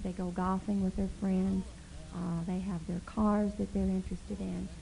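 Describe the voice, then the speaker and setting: A woman's somewhat breathy voice has a dark, mellow tone, with audible echo from the room. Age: 40s. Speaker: pastor's wife. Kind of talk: church talk. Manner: informal, laughing.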